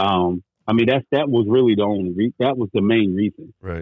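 A man with an American accent, fairly quick, with ordinary pitch variation and an unremarkable speaking voice. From North Carolina (military brat, grew up partly in Germany). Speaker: podcast host appearing as guest. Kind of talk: casual chat.

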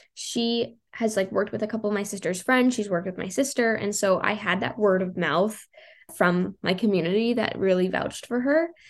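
A woman talks at a fairly quick pace in an unremarkable speaking voice. Her medium pitch shows ordinary variation against a quiet background. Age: 20s. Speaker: blogger. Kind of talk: interview.

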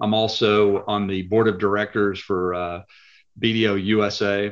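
A man with a Texan accent speaks in a very deep, low voice with monotone, flat intonation against a quiet background. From Texas (Lubbock). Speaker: private equity accounting executive. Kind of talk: interview.

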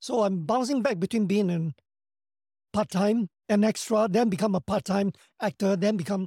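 A dark, mellow tone with a Singaporean accent, dry and close with no echo, on a very clean recording with a silent background. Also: man. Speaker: actor and action director. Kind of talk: interview, casual chat.

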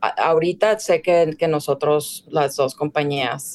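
A woman speaks very slowly, and the sound is dry and close with no echo. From Mexico, Ciudad Juárez (border). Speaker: fashion director and stylist. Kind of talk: casual interview.

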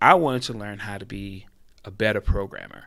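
The recording is very clean, with a silent background. A man with a bright, sharp tone speaks at a moderate pace. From Haiti. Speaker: game industry executive. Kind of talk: casual interview. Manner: repeats words, halting starts.

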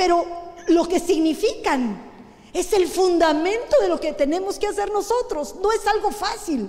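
In a room with audible echo, a woman speaks at an extremely high pitch and fairly slow pace, her intonation lively. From Guatemala. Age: 60s. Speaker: pastor. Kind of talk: sermon. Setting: church.

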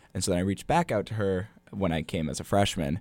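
A man speaks in a dark, mellow tone with vocal fry. The recording is very clean, with a silent background. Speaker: college basketball student manager. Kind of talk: casual interview chat.

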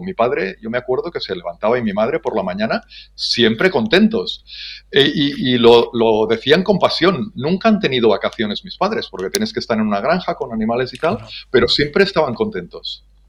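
A man with a fairly high pitch and vocal fry swings his pitch very widely. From Spain, Ebro Delta (Catalonia). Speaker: business development manager. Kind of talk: interview.

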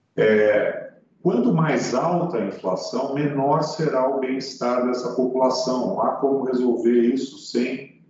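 The speech comes at a fairly slow pace with ordinary pitch variation, amid audible room echo and noticeable background noise. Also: man. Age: 60s. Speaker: economist. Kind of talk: interview. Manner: hesitant, with frequent fillers.

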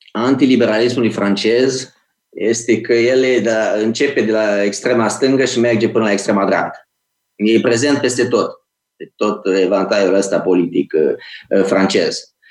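This man has a medium pitch and ordinary pitch variation. He talks at a fairly slow pace. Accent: Moldavian. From Romania, Iași (Moldavia). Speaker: think tank director and author. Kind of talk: interview.

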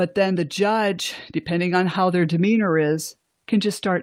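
On a very clean recording with a silent background, a woman uses an ordinary speaking voice at a fairly slow pace with ordinary pitch variation. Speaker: guest sharing family court experience. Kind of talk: interview, personal testimony.

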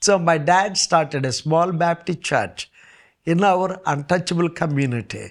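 A man with a high voice speaks in an Indian accent. His pace is fairly slow, and his pitch varies in an ordinary way. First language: Indian language. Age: 70s. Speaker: pastor. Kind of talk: testimony.

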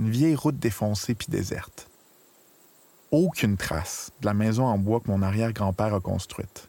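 Long, frequent pauses in a dark, mellow tone. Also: man, fairly low pitch for a man, ordinary pitch variation, moderate pace. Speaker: documentary narrator. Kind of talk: scripted narration.

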